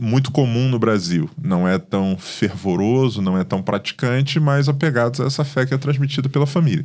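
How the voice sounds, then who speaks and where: Lively intonation in a Carioca accent, at a moderate pace with very even loudness and hardly any pauses. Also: man, medium pitch for a man. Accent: Carioca (Rio de Janeiro) Portuguese. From Rio de Janeiro, Brazil (born in Paraíba, moved as infant). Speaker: pastor. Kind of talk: podcast interview.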